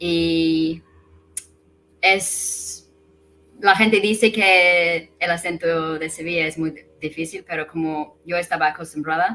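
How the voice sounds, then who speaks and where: Speaking very slowly with long, frequent pauses, a woman uses an English accent and a fairly low pitch. Her intonation is fairly even, though her loudness swings widely. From England. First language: English (speaking Spanish). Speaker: guest, expat language learner. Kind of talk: casual interview.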